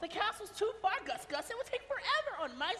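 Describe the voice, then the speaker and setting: A put-on character voice at a fairly quick pace over clear background noise. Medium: stage play.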